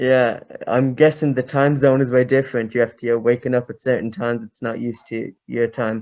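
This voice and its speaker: With an Irish accent, a man speaks at medium pitch with fairly even intonation and big swings in loudness. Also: fairly quick pace. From Ireland. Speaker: podcast host. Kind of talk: casual chat.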